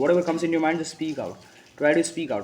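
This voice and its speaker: Over noticeable background noise, a man with an Indian accent talks very fast at a fairly high pitch. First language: Hindi. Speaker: motivational speaker. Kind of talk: motivational talk. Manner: halting, with frequent restarts; emphatic.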